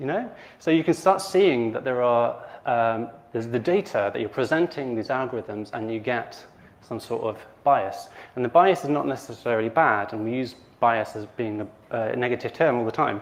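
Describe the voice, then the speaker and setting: Lively in intonation, a man talks at medium pitch and a moderate pace. He has a normal speaking voice. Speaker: conference speaker on AI ethics. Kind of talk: conference talk.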